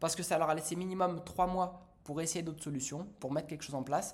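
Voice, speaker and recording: The man's pitch is fairly high. He speaks at a fairly quick pace. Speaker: business coach. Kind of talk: tutorial. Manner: fast; animated.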